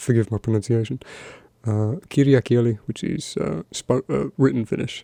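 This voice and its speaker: Soft-spoken and fairly slow, a man talks at medium pitch with a dark, mellow tone and ordinary pitch variation, the sound dry and close with no echo against a quiet background. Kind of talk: ASMR soft-spoken talk.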